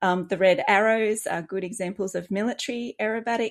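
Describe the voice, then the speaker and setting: Speaking at a moderate pace with an Australian accent and fairly even intonation, this voice comes through on a very clean recording with a silent background. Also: woman. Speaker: children's author, former air force. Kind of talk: interview.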